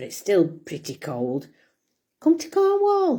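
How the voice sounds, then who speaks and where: The recording is very clean, with a silent background. A woman speaks in a dark, mellow tone. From Serbia. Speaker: vlogger. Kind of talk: casual monologue to camera. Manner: rambling, conversational.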